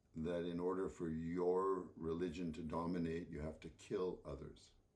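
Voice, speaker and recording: Audible room echo surrounds a man with a Canadian accent whose very deep, low voice moves at a fairly slow pace. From Canadian Prairies, Saskatchewan. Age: 70s. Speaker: composer and speaker. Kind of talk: talk to an audience. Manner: halting, many repetitions.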